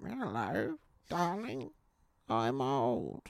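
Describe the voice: The speaker uses a put-on character voice with a low-to-middle pitch.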